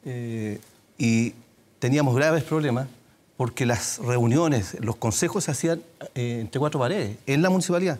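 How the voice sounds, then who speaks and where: Speaking fairly slowly, a man uses lively intonation. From Puente Alto, Santiago, Chile; Chile. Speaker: city councillor and mayoral candidate; candidate. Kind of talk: televised political debate. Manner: halting, many fillers. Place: studio. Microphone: lapel.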